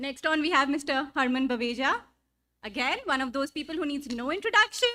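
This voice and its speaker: Raising and projecting her voice, a woman with a Punjabi accent talks at a fairly quick pace, high pitch, bright and sharp in tone, with lively intonation. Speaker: event host. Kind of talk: stage introductions. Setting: stage with audience. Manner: animated.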